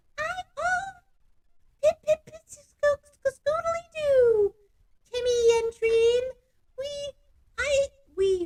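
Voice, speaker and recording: A put-on character voice, female-sounding and extremely high-pitched, at a very slow pace with long, frequent pauses. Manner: singsong, babbling, silly.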